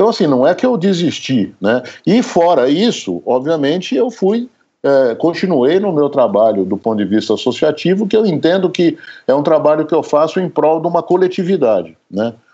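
At a moderate pace, a dark, mellow voice moves through very wide pitch swings at very even loudness against a quiet background. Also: man, fairly high pitch for a man. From interior of São Paulo state, Brazil. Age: 60s. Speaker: psychiatry professor. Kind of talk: interview. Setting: remote recording.

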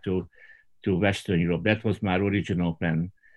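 With a Hungarian accent, a man speaks at a very deep, low pitch. His pace is moderate and his intonation fairly even. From rural southern Hungary. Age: 60s. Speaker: Baptist pastor. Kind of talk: roundtable discussion. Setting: video call.

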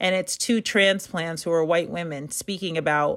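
A woman with an ordinary speaking voice, fairly low in pitch, at a fairly quick pace with ordinary pitch variation. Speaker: playwright and actor. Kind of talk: interview.

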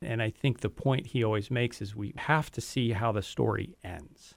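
Here is a man with an ordinary speaking voice at medium pitch and ordinary pitch variation. The recording is very clean, with a silent background. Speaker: advisory board member. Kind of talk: radio interview.

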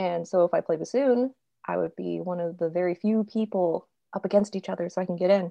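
A woman with a General American accent talks at a fairly quick pace in a fairly low pitch. It is a plain, everyday voice with ordinary pitch variation. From California. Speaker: sound designer and podcast host. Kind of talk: casual chat.

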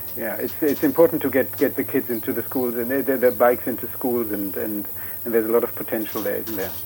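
Over noticeable background noise, a man talks at a fairly quick pace. His pitch is medium and his intonation fairly even. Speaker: academic and cycling advocate. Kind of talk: radio interview.

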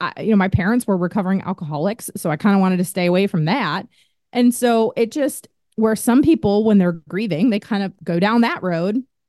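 A woman of medium pitch speaks at a moderate pace with ordinary pitch variation and a plain, everyday voice, the sound dry and close with no echo. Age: 30s. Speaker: author and podcast host. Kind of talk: personal storytelling interview.

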